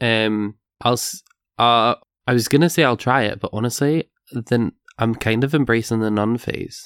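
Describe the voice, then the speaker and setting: A man's voice, a normal speaking voice, at medium pitch and moderate pace with ordinary pitch variation, dry and close with no echo in a very clean recording with a silent background. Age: 20s. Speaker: podcast co-host. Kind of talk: casual chat.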